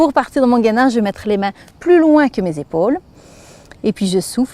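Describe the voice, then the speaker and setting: The speaker has a Belgian accent and a fairly quick pace. The sound is dry and close with no echo, though there is noticeable background noise. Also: woman. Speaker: fitness instructor. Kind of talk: exercise tutorial. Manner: instructive, guiding breathing.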